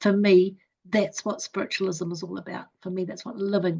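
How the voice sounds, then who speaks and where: A woman talks at a medium pitch with ordinary pitch variation and some vocal fry. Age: 70s. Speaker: psychic medium. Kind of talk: interview.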